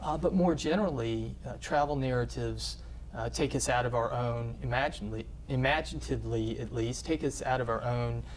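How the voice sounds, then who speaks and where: A man with a Southern US accent at a fairly quick pace, with audible room echo. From US South. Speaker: professor. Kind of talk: interview. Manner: halting, many fillers.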